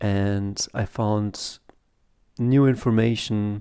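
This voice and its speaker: A man speaks with a German accent at a medium pitch and a dark, mellow tone. The recording is very clean, with a silent background. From Germany, Italian family. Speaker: comic artist and YouTuber. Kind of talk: casual video review monologue. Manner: halting, many fillers.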